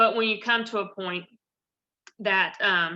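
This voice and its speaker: A woman with a Southern US accent speaks in a bright, sharp tone with fairly even intonation. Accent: Southern US (Georgia). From US South, north Georgia. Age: 30s. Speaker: personal trainer. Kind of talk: guest talk with Q&A. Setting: video call.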